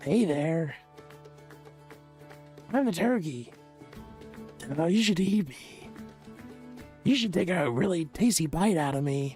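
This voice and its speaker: A man puts on a character voice with a high pitch, speaking at a fairly slow pace. Long, frequent pauses break it up, with clear music in the background. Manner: sly, enticing.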